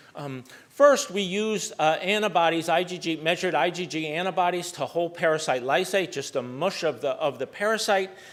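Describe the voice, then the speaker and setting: The man's voice sits high and varies in pitch in an ordinary way. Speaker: malaria researcher. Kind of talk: lecture. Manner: fast.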